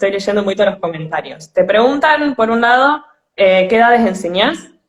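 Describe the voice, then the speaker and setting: This woman speaks with an Argentine accent, her fairly high pitch carried by lively intonation. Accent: Argentine Spanish (voseo). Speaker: podcast host. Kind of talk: live-streamed interview. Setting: online live stream.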